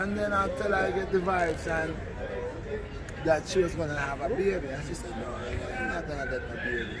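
A man talks at a fairly quick pace while loud background noise fills the clip. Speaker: interviewee. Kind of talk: interview answer. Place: street. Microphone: phone near.

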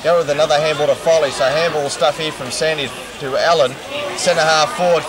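A man at a fairly high pitch and fairly quick pace, dry with no echo, crowd noise in the background. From Australia. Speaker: football commentator. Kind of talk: live Australian rules football commentary, describing play-by-play at the ground. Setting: at the ground. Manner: casual, conversational and relaxed, with a local-radio feel. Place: stadium. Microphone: old recording.

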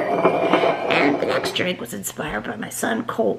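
A woman is speaking. Her voice has vocal fry. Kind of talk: casual vlog chat, drink tutorial. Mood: playful, joking. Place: kitchen. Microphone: phone near.

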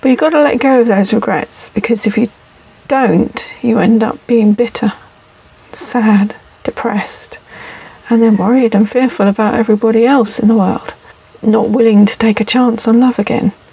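Over noticeable background noise, a woman speaks in a fairly high pitch with fairly even intonation and very even loudness. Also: moderate pace. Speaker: vlogger living in a camper van. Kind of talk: casual monologue vlog. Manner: reflective, hesitant with fillers.

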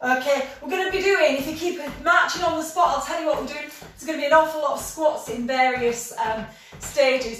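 A woman with a high pitch talks at a moderate pace, with ordinary pitch variation. Audible room echo surrounds her voice. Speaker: fitness instructor. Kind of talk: workout class instruction. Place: home room. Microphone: camera far.

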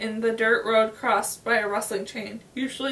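The delivery is a natural reading voice. Intonation stays fairly even.

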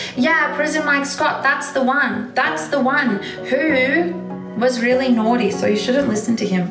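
Clear music plays in the background as a woman speaks at a high pitch. Her pace is fairly slow, with ordinary pitch variation. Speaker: livestreamer. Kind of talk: casual livestream chat reading comments. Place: home room. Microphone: phone near.

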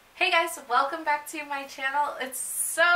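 Raised and projected, a woman's voice has an upbeat tone at a moderate pace over light background noise. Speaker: beauty vlogger. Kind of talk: makeup tutorial talk to camera. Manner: casual, chatty, upbeat. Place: home room. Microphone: phone near.

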